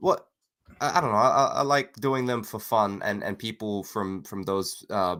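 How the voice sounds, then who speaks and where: At a moderate pace, a man speaks with a fairly low pitch, ordinary pitch variation and a bright, sharp tone. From Singapore. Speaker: comic book creator. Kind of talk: casual chat. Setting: live stream.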